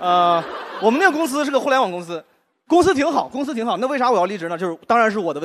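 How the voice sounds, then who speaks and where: Against a quiet background, the speech races along very fast with very wide pitch swings. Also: man. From Henan, China. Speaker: stand-up comedian. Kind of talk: stand-up. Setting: stage with audience. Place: stage. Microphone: handheld.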